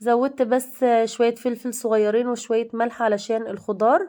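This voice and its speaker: Her voice has a dark, mellow tone and a fairly high pitch. This woman talks at a fairly slow pace with fairly even intonation. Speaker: cooking channel host. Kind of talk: cooking tutorial. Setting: home kitchen.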